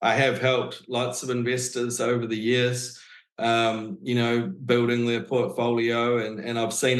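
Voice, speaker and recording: Over noticeable background noise, a man with a New Zealand accent speaks at a moderate pace. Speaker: real estate agent. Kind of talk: interview answer.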